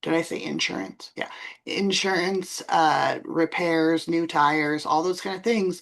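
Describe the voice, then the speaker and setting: With an unremarkable speaking voice, a woman talks at a fairly slow pace and a fairly low pitch, using ordinary pitch variation. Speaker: bookkeeper and tax professional. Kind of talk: expert interview.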